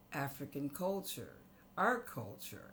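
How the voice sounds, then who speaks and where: A woman speaks very slowly with lively intonation in an American accent. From San Diego, California. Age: 70s. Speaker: community arts center founder. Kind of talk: interview conversation.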